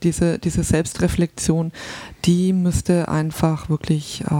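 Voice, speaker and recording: Over noticeable background noise, a woman speaks very slowly at a fairly low pitch, her intonation fairly even and her loudness very even, in a dry, close sound with no echo. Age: 40s. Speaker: social sciences podcaster. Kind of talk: casual interview. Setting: studio. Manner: hesitant, many fillers.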